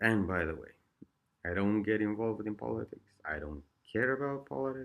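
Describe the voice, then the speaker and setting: The recording is very clean, with a silent background. The speech moves at a moderate pace. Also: man. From Eastern Europe. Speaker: vlogger sharing addiction recovery experiences. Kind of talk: casual monologue.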